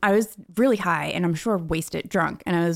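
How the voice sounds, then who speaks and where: The recording is very clean with a silent background. The pace is fairly quick. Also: woman. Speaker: podcast co-host. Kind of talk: casual chat. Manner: loud.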